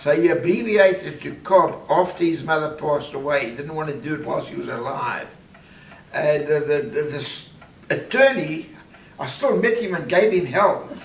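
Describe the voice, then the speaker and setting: A man's high voice with very wide pitch swings and big swings in loudness at a moderate pace, amid noticeable background noise and audible room echo. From South Africa, Johannesburg. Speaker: family patriarch telling life story. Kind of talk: casual family interview. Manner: halting.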